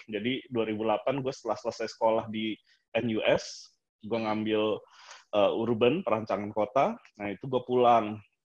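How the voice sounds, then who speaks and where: A man's medium-pitched voice, fairly slow and monotone, with flat intonation. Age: 30s. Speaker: architect. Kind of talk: casual chat.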